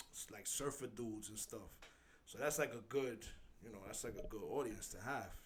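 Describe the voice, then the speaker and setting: A man speaks at a medium pitch and a moderate pace, somewhat breathy. His loudness swings widely, and room echo is audible. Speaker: instagram page creator. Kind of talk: casual chat. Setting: studio. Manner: animated.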